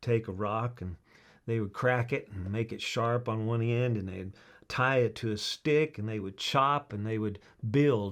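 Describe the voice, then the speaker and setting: A man's medium-pitched voice in a Southern US accent with fairly even intonation. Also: very clean recording, silent background. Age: 60s. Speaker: chainsaw trainer. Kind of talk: casual talk to camera. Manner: halting, repetitive.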